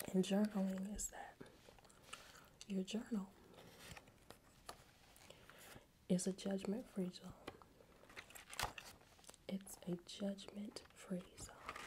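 Whispering and soft-spoken, a woman talks at a very slow pace with long, frequent pauses over noticeable background noise. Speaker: wellness host. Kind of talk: soft-spoken ASMR-style talk. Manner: soft ASMR whisper close to mic. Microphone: studio mic.

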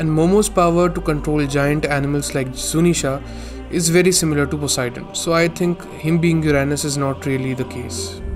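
Music plays in the background while a man talks at a fairly quick pace. His pitch is fairly high, with ordinary pitch variation. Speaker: manga review youtuber. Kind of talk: casual talk to camera, analysis commentary.

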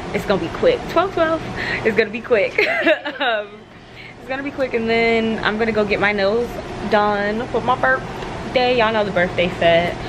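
Noticeable background noise fills the clip. Through it, a woman talks at a moderate pace. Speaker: vlogger. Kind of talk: casual vlog chat. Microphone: phone near.

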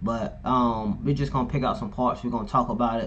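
Light background noise accompanies a man whose voice has vocal fry. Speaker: reaction creator. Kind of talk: casual vlog chat. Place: home room.

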